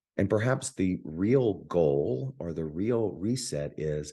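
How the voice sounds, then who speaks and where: A very deep, low male voice of dark, mellow tone, with very wide pitch swings. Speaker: spiritual teacher. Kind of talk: spiritual talk.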